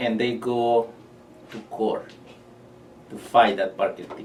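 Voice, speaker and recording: With a non-native accent, a man speaks at a medium pitch and a moderate pace in a monotone, flat intonation. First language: not English. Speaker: injured worker. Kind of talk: testimony.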